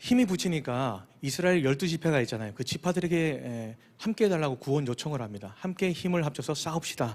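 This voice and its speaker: Speaking at a fairly quick pace, a man with a fairly high voice swings his pitch very widely on a very clean recording with a silent background. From Busan, South Korea. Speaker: pastor. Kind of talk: sermon. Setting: church.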